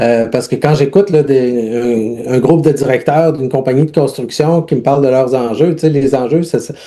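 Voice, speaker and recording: In a Quebec accent, a man speaks at a moderate pace with a medium-pitched, dark, mellow tone and fairly even intonation. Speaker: humanitarian aid worker and leadership coach. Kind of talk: interview testimony. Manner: halting, many repetitions and fillers.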